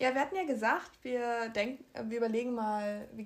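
The woman's voice is fairly high, with ordinary pitch variation. She speaks at a moderate pace. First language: bilingual, German plus another language (speaking German). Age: 19, young. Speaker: podcast co-host. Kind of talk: casual chat.

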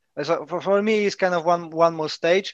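A man with a Polish accent at a moderate pace, his intonation fairly even. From Poland. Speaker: self-published author, martial artist. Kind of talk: casual chat.

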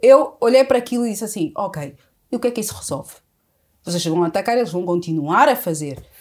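A woman at a fairly quick pace, on a very clean recording with a silent background. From Angola, with ten years in South Africa. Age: 30s. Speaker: entrepreneur and writer. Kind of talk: casual interview.

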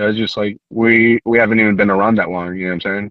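This is a man speaking. He talks with an American accent. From San Francisco Bay Area, California. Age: 20s. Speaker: brewer. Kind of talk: casual chat. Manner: halting.

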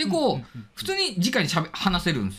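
Noticeable background noise behind a man with a raised, projected voice. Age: 40s. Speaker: drone hobbyist. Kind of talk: casual chat.

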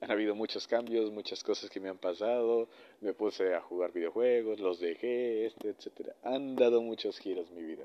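A man with a normal speaking voice, medium pitch, ordinary pitch variation and a moderate pace. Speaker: podcaster. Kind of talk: casual monologue. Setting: alone at night.

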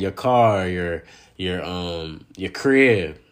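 On a very clean recording with a silent background, a man speaks at a fairly low pitch. His tone is animated, with ordinary pitch variation. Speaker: podcast host and personal trainer. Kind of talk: casual solo podcast monologue on dating.

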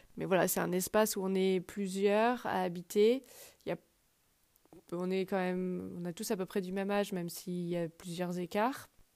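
Fairly even intonation marks a woman's medium-pitched voice at a moderate pace. The recording is very clean, with a silent background. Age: 30s. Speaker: podcast host. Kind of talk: personal monologue. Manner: hesitant with fillers.

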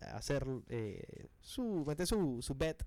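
A man talks in a fairly high pitch. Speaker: sports radio host. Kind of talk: sports radio talk show. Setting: radio studio.

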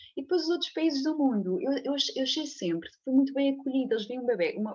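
Her high pitch rising and falling in very wide swings, a woman speaks. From Portugal, Leiria area. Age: 30s. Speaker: physiotherapist. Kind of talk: interview conversation. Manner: halting, many repetitions and fillers.

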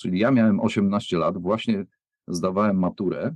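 Speaking at a very slow pace, a man uses a medium pitch with ordinary pitch variation in a dry, close sound with no echo. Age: 50s. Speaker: music producer. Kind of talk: casual chat. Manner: halting.

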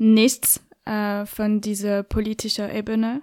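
Recorded very cleanly with a silent background and a dry, close sound free of echo, a woman with a French accent speaks very slowly at a fairly high pitch. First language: French (speaking German). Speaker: podcaster and journalist. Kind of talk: interview. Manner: halting, many fillers.

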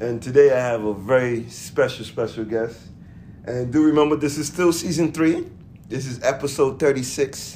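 A man with a plain, everyday voice, moderate pace and ordinary pitch variation. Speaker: podcast host. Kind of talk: casual chat.

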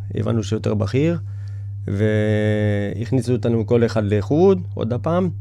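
A man with a fairly low pitch over noticeable background noise. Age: 40s. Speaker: bus driver. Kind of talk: interview. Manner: halting.

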